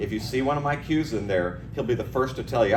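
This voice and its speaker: A man talks at a very fast pace with lively intonation, amid audible room echo and noticeable background noise. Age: 60s. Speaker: cue maker. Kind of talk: award acceptance speech. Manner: casual, halting.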